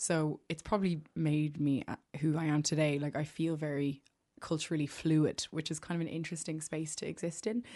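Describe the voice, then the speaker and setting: Against a quiet background, a woman with an Irish accent talks at a fairly quick pace in a very deep, low pitch with fairly even intonation. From Ireland, Maynooth (County Kildare). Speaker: singer-songwriter. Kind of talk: casual chat. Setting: studio.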